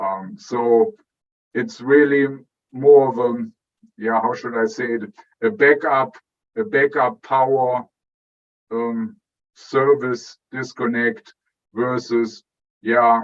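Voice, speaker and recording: Speaking with a German accent, a man uses a medium pitch with ordinary variation. His very slow pace is broken by long, frequent pauses. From Germany. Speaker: electrical engineer, product director. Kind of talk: interview. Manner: halting, many fillers.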